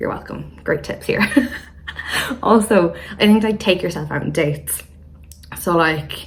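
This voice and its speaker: Vocal fry comes through in a voice with audible room echo. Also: woman. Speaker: YouTuber. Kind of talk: casual chat.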